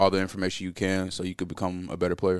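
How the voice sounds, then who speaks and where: A man speaks with a very deep, low voice. The background is quiet. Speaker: college basketball player. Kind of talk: interview. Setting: hotel room.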